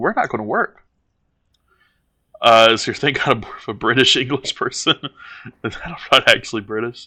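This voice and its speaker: A man with a Southern US accent speaks at a medium pitch and moderate pace, his tone bright and sharp. His intonation is fairly even, with long, frequent pauses, and the sound is dry and close with no echo. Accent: Southern American. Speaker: streamer. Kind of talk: casual chat.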